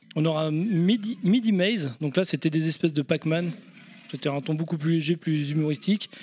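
The speaker is a man with an ordinary speaking voice. He keeps a moderate pace and ordinary pitch variation. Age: 30s. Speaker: video game podcast guest. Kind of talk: casual chat.

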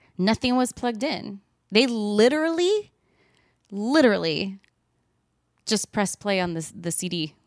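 A woman talks at a fairly slow pace, her pitch swinging very widely. She leaves long, frequent pauses in a very clean recording with a silent background. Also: medium pitch for a woman. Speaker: podcast co-host and band singer. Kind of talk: casual chat. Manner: laughs often.

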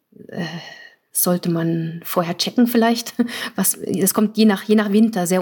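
A woman with a slight Norwegian accent, medium pitch, fairly even intonation and a moderate pace. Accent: slight Norwegian accent in her German. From Germany. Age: 40s. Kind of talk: interview. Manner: hesitant, many fillers.

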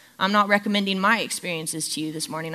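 A woman with an American accent talks at a very fast pace in a bright, sharp tone. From Southern California. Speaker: children's ministry staff giving a sermon. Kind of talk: sermon. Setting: church.

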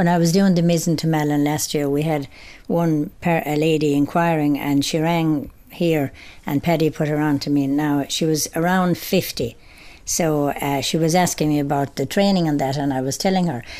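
In a very clean recording with a silent background, a woman speaks at a moderate pace with a very deep, low pitch, a dark, mellow tone, fairly even intonation and very even loudness. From Ireland, County Clare. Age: 70s. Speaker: amateur cyclist. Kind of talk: interview.

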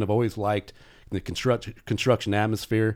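Very fast talk from a man with a Midwestern American accent and a dark, mellow tone, on a very clean recording with a silent background. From Indiana (South Bend). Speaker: safety consultant and professor. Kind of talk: casual interview.

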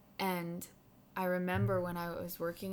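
A woman with an unremarkable speaking voice and fairly low pitch talks at a moderate pace on a very clean recording with a silent background. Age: 20s. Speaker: podcast host. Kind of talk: interview conversation.

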